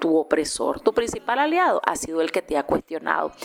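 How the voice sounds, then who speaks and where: A woman with a Nicaraguan accent is heard over noticeable background noise. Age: 40s. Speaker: journalist. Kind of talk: interview. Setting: radio station office.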